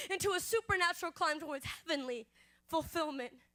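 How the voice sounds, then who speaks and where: The speaker talks at a very fast pace in a raised, projected voice. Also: woman. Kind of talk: spoken word poetry performance. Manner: expressive, rhythmic.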